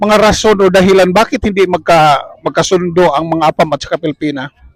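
Lively intonation and a fairly quick pace mark this voice, heard with a dry sound with no echo against a quiet background. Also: man. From Philippines. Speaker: vlogger interviewing fellow Filipinos. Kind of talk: casual interview. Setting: outdoors at a lake picnic. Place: open country. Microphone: lapel.

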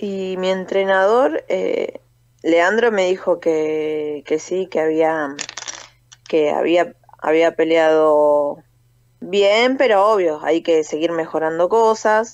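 Against a quiet background, a woman with a fairly low pitch talks at a very slow pace with ordinary pitch variation. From Buenos Aires area, Argentina (Libertad, Merlo); Buenos Aires. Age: 30s. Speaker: professional boxer and army corporal. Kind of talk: phone interview. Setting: phone call. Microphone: phone line, dropped once; phone line.

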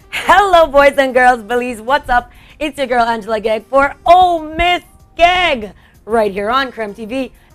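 Faint music plays behind a woman whose high voice moves with lively intonation at a fairly slow pace. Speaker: TV talk show host. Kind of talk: live TV show hosting. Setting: TV studio. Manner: animated. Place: studio.

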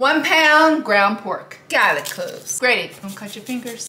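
With audible room echo, a woman speaks at a fairly slow pace in a high pitch. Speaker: home cook host. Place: kitchen.

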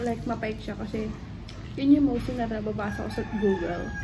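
A woman talks at a moderate pace, her pitch varying in an ordinary way, with noticeable background noise behind her. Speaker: food vlogger. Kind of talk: casual vlog chat. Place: home room. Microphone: phone near.

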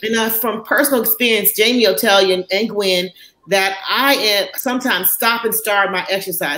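In an unremarkable speaking voice, a woman with an American accent talks at a moderate pace, her medium pitch held in fairly even intonation. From Chicago, US Midwest. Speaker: physician; panelist. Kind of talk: panel discussion. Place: home room. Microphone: webcam.

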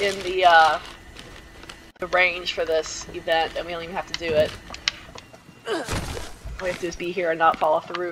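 A woman speaks at a moderate pace and fairly low pitch, with long, frequent pauses. Her loudness swings widely over noticeable background noise. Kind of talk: casual gaming chat.

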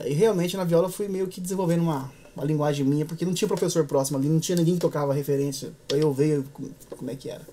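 A man talks at a very fast pace in a fairly high voice. His intonation stays fairly even, and there is light background noise. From interior of São Paulo state, Brazil (Echaporã/Marília); São Paulo state, Brazil. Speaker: musician, viola player and composer; guest. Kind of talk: interview conversation. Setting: studio. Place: studio.

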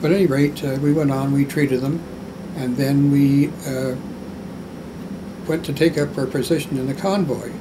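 A man speaks at a moderate pace with fairly even intonation. Noticeable background noise runs beneath his voice. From Canada. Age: 80s+. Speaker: war veteran. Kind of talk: interview answer. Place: home room.

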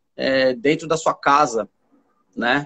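At a fairly slow pace, a man speaks. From São Paulo, east zone. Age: 40s. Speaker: therapist and spiritualist; guest. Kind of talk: live stream conversation. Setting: live video stream. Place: home room. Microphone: video call.

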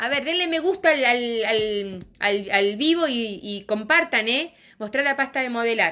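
A woman speaks at a high pitch with lively intonation and a bright, sharp tone. Her delivery is animated but fairly slow. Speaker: craft and decorative painting teacher; decorative painting teacher. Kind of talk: live streamed craft tutorial. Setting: live stream on social media. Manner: animated, talkative. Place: shop. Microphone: phone near.

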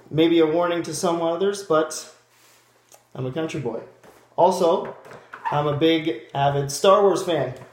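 Speaking fairly slowly with a Canadian accent, a man uses a fairly high pitch and ordinary pitch variation, leaving long, frequent pauses amid audible room echo. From Ontario, Canada (small town). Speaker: job applicant. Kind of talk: video job application monologue; self-introduction video. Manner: halting, with fillers and restarts. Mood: upbeat, friendly. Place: home room. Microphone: webcam.

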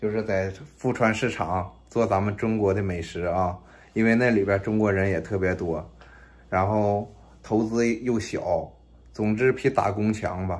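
A man's fairly low voice, fairly slow in pace and fairly even in intonation. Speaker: vlogger. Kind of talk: casual vlog chat. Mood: earnest, planning a business. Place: kitchen. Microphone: phone near.

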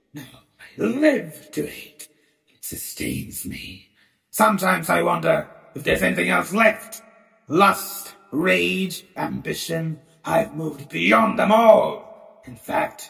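A man puts on a raspy character voice at a fairly slow pace, with a slight echo. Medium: audio drama. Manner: sardonic, contemptuous.

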